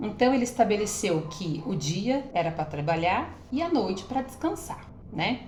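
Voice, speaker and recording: Over noticeable background noise and audible room echo, a woman speaks at a fairly slow pace and medium pitch, her voice making very wide pitch swings. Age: 30s. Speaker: women's health vlogger. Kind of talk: casual vlog talk to viewers. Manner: hesitant, many fillers.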